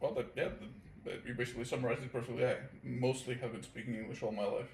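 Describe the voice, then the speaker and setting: Amid noticeable background noise and audible room echo, a man with a slight Portuguese accent speaks very fast at medium pitch in a monotone, flat delivery. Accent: near-native English, slight Portuguese. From Portugal. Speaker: guest, friend of host. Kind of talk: casual chat.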